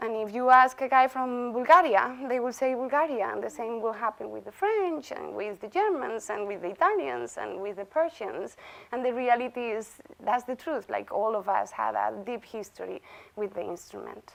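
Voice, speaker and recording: Speaking at a moderate pace in a strong Galician accent, a woman's voice swings widely in loudness. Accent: thick Galician Spanish. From Galicia, Spain. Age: 30s. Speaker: bagpipe musician and visiting chair. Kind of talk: lecture. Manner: conversational, interactive.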